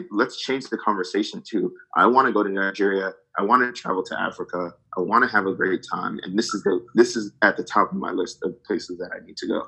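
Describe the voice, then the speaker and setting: A man with a New Jersey accent at a very fast pace. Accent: American, New Jersey. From New Jersey, US. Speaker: travel company co-founder, strategy consultant. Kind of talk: interview, casual chat.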